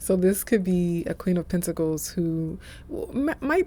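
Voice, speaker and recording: A soft-spoken woman talks at medium pitch and a moderate pace. Her tone is dark and mellow. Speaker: tarot reader. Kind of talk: tarot reading. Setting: office.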